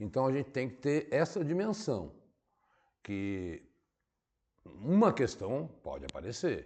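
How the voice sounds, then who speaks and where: A man's fairly high voice at a very slow pace, with long, frequent pauses, very wide pitch swings and big swings in loudness. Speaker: teacher. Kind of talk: lecture.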